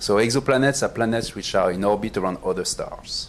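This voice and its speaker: A man at medium pitch with a French accent, ordinary pitch variation and a fairly quick pace. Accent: French, noticeable. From France. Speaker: planetary astronomer. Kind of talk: panel talk presentation.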